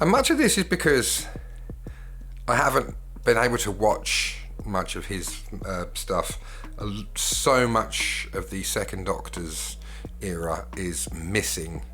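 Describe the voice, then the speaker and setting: A man with a British accent speaks very slowly. He takes long, frequent pauses, and the room echo is audible. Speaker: YouTuber and singer. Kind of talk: casual solo commentary. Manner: hesitant, with fillers.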